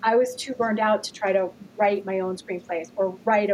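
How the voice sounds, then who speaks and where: Fairly even in intonation, this is a plain, everyday voice with an American accent. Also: woman. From US Midwest (Gary, Indiana). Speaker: author and TV writer. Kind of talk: casual chat.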